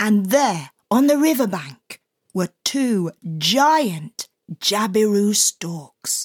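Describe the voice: Against a quiet background, the plain reading aloud has lively intonation.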